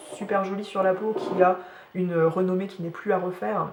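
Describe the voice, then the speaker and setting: In a moderate pace, a woman speaks at a medium pitch with monotone, flat intonation. Audible room echo and noticeable background noise are present. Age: 30s. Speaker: beauty vlogger. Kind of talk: casual chat. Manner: hesitant, many fillers.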